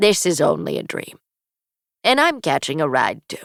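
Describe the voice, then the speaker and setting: A raspy, put-on character voice at middle pitch moves at a moderate pace on a very clean recording with a silent background. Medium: read story. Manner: brisk, playful.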